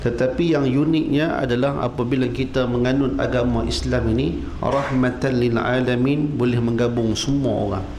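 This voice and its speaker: A man speaks with hardly any pauses. There is audible room echo and light background noise. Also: moderate pace, very even loudness. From Penang, Malaysia. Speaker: religious teacher. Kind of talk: sermon. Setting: mosque with live audience. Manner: animated. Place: hall. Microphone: podium.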